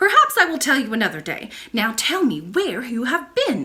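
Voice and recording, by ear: A woman performs a put-on character voice at a moderate pace. Her high voice is bright and sharp, with very wide pitch swings.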